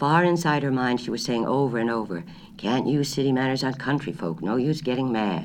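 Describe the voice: Here the speaker offers plain reading aloud.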